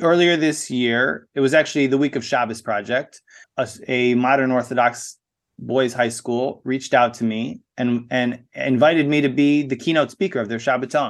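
A man with an American accent speaks at a moderate pace and medium pitch, with fairly even intonation. He has an unremarkable speaking voice, and the background is quiet. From USA. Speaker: spoken word artist. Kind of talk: interview.

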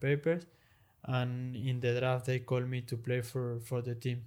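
A man with a Spanish accent speaks at a fairly slow pace in a medium pitch, his intonation flat and monotone. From Argentina. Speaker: professional padel player. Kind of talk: interview. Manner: halting.

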